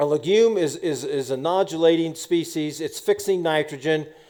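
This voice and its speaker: In an American accent, a man talks at a moderate pace with a high pitch, ordinary pitch variation and a dark, mellow tone. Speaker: farmer. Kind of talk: conference presentation.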